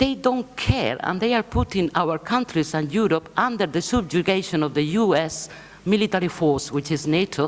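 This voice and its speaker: A woman speaks at a moderate pace with a fairly low pitch. Her intonation is lively. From Spain. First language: Spanish. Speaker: left-wing political foundation leader. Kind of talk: conference speech.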